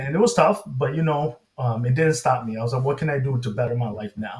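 A man at medium pitch with an American accent, somewhat breathy, with ordinary pitch variation. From Inglewood, California. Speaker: cancer research scientist. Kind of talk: personal testimony.

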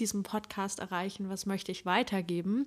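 A woman with a normal speaking voice talks at a moderate pace in a medium pitch with fairly even intonation, on a very clean recording with a silent background. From northeastern Germany, Usedom. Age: 20s. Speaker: psychology student, podcast co-host. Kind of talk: casual chat. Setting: sitting together on the floor in one room.

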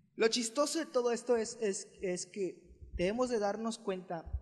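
Lively intonation from a man. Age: 20s. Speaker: church youth podcast host. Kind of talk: casual chat.

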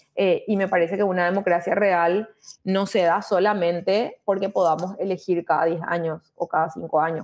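The delivery has monotone, flat intonation and very even loudness. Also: woman, medium pitch for a woman, moderate pace. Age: 30s. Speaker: mayoral candidate. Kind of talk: interview.

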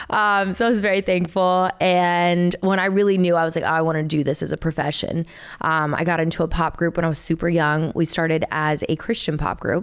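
A woman with an American accent talks at a fairly quick pace in a fairly low pitch. Her loudness stays very even. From US South, Chattanooga, Tennessee. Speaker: singer-songwriter. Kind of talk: casual chat. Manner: animated.

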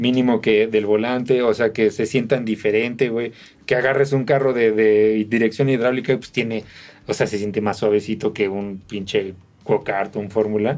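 With a Mexican accent, a man speaks at a moderate pace, his medium-pitched voice keeping a fairly even intonation. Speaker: podcast co-host. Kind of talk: casual chat. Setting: video podcast recording.

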